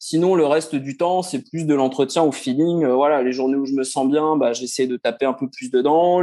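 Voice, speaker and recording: A man talks in an ordinary speaking voice at a moderate pace. His pitch is fairly high and his intonation fairly even. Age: 40s. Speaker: amateur runner, former footballer. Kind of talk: interview.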